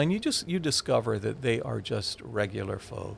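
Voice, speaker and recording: A man talks at a moderate pace, his voice showing vocal fry. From Hawaii. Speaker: television news reporter and former sportscaster. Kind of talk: casual interview chat. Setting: studio.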